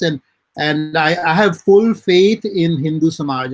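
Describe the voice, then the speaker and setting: A man speaks with an Indian accent. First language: Hindi. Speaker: writer and publisher. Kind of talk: interview.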